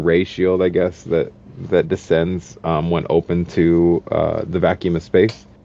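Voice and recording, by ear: With a dark, mellow tone and vocal fry, a man speaks low in pitch and with little pitch movement.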